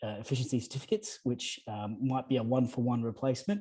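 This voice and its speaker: Against a quiet background, a man with an Australian accent speaks in a medium-pitched, dark, mellow voice with fairly even intonation. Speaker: energy efficiency advisor. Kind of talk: panel discussion. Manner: fast.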